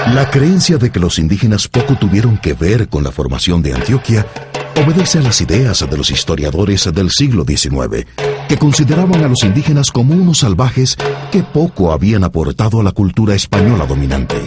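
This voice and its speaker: A man's fairly low voice at a fairly quick pace, with very wide pitch swings and very even loudness, over music in the background. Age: middle-aged. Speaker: voice-over narrator. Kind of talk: documentary narration. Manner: formal.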